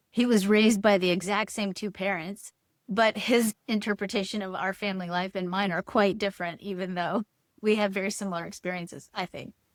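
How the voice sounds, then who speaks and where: Monotone, flat intonation at a fairly quick pace. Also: woman, medium pitch for a woman, dry, close sound with no echo. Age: 60s. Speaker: human design teacher and author. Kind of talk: podcast interview.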